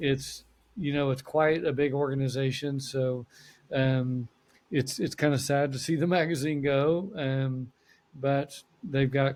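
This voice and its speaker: A man has an unremarkable speaking voice, fairly high in pitch. He talks at a fairly slow pace with fairly even intonation and very even loudness. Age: 60s. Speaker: accountant. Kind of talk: podcast interview.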